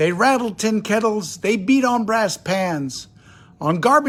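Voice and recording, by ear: A natural voice reading text aloud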